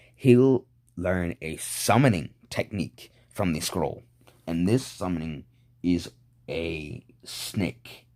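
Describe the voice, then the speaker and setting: A man's very deep, low voice with a dark, mellow tone and ordinary pitch variation, on a very clean recording against a silent background. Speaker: fan fiction storyteller. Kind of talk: casual storytelling monologue. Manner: halting, many fillers.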